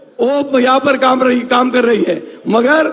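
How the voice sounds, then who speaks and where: A man's voice sits extremely high in pitch, with ordinary pitch variation and noticeable background noise. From Maharashtra, Nashik district (Chandwad). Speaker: local politician. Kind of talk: rally speech. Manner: halting.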